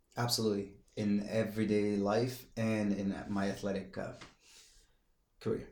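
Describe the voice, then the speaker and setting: With a non-native accent, a man speaks at a moderate pace in a fairly low, monotone and flat voice, leaving long, frequent pauses. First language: not English. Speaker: professional athlete and entrepreneur. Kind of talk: casual chat.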